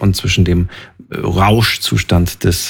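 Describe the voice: A man speaks with a slightly husky edge. Vocal fry runs through his voice.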